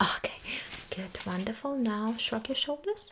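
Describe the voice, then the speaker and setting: A soft-spoken woman talks at a fairly slow pace. Her intonation is lively, with light background noise. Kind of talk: roleplay exam instructions. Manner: soft, close ASMR-style doctor voice. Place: home room. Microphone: studio mic.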